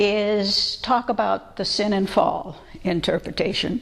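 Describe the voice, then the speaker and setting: A woman speaks in a plain, everyday voice, pitched fairly high. Her pace is fairly slow. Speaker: biblical scholar, lecturer. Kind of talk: public lecture. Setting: church lecture with audience.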